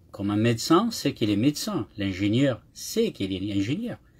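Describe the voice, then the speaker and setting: In a very clean recording with a silent background, a man with a somewhat breathy, fairly low voice speaks at a moderate pace with ordinary pitch variation. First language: Kabyle (speaking French). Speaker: YouTuber. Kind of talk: live monologue. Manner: halting, with repetitions.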